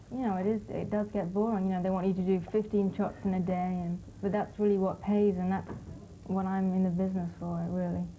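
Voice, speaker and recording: Against background music and audible room echo, a woman speaks fairly quickly with a London accent in a monotone, flat intonation. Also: medium pitch for a woman. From London, England. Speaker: fashion model. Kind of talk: interview.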